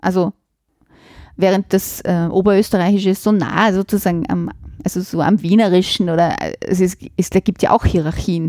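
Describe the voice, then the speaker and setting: A woman's medium-pitched voice with a dark, mellow tone at a moderate pace, with fairly even intonation, very even loudness and long, frequent pauses. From Vienna, Simmering. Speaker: literature professor. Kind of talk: interview.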